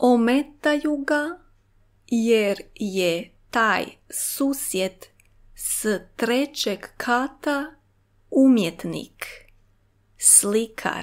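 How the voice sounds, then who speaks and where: Recorded very cleanly with a silent background, a woman talks at a very slow pace with a high pitch, lively intonation and long, frequent pauses. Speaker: language teacher. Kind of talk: reading aloud.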